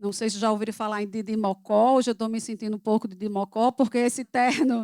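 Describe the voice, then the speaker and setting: A woman with a Paraíba accent speaks with fairly high pitch and fairly even intonation in a dry, close sound with no echo on a very clean recording with a silent background. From Paraíba, northeastern Brazil. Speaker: public program coordinator, speaker. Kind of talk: talk. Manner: halting.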